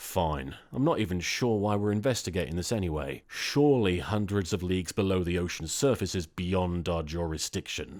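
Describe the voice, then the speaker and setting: In a put-on character voice, a man growls in a gruff, very deep, low pitch at a moderate pace. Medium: read story. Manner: gruff, growling.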